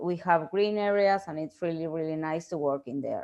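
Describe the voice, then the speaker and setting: With a Spanish accent, a woman talks against a quiet background, her pitch varying in an ordinary way. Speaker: researcher and professor. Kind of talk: lecture. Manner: halting, many fillers.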